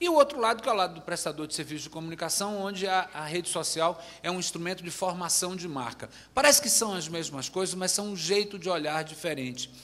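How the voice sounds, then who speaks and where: In a Bahian accent, the speaker moves at a fairly quick pace with hardly any pauses and ordinary pitch variation. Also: man, high pitch for a man. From Bahia, Brazil. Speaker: advertising agency executive. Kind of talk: panel discussion.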